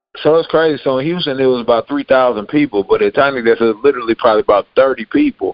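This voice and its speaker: A man with an American accent talks at a very fast pace with hardly any pauses, his fairly high pitch showing ordinary variation. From Nigerian American, US. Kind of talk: casual chat.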